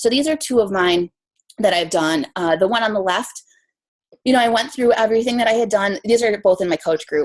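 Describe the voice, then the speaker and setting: A woman with an American accent speaks at a fairly quick pace. Her pitch is fairly high and her intonation lively. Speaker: fitness coach. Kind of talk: training presentation. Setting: team conference call. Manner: fast.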